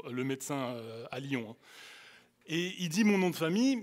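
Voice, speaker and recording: Speaking at a fairly slow pace, a man with an Alsatian accent uses a high pitch and very wide pitch swings. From France, Alsace (Colmar area). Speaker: youth speaker. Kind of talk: sermon. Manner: animated; halting.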